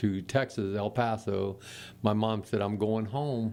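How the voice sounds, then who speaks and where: It's a normal speaking voice, a man's, fairly low in pitch with fairly even intonation. He speaks at a fairly slow pace. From Florida, Daytona area. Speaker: retired postman. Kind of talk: casual chat.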